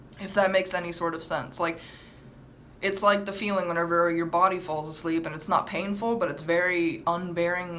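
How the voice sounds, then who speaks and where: A woman speaks at a fairly low pitch with ordinary pitch variation. The room echo is audible. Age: 18. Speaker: vlogger. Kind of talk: story time vlog. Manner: fast; halting, with stammered restarts.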